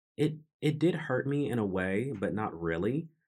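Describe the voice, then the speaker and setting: With lively intonation, the delivery keeps to a fairly slow pace. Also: man. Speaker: podcast host. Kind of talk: personal storytelling monologue. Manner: reflective, introspective.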